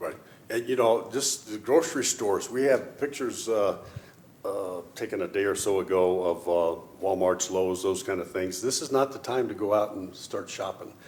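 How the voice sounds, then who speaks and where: With an unremarkable speaking voice, a man talks at a fairly low pitch and a moderate pace, with ordinary pitch variation. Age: 60s. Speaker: city mayor. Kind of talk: public affairs talk show.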